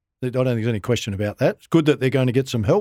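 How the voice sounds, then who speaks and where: A man speaks at a medium pitch with an Australian accent and lively intonation. The recording is very clean, with a silent background. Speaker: former Olympian and football club consultant. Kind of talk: casual interview.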